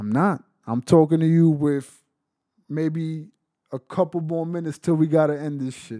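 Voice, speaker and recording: A man's dark, mellow tone at a moderate pace. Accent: New York. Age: 20s. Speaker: former inmate on work release. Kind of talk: interview storytelling. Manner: animated.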